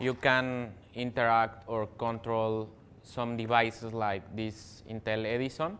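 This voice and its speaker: The speaker has a non-native accent. The intonation stays fairly even. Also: man. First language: not English. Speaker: software developer, tech speaker. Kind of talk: technical talk. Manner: halting, many fillers.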